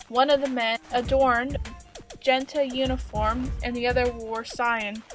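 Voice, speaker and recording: Over music in the background, a woman speaks at a high pitch with monotone, flat intonation. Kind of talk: audiobook-style story reading. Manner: stuttering, first-time reader.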